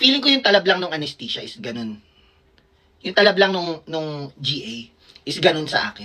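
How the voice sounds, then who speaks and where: Speaking at a moderate pace, a woman sounds animated, with big swings in loudness and very wide pitch swings. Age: 30s. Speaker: vlogger and doctor. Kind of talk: casual storytelling vlog.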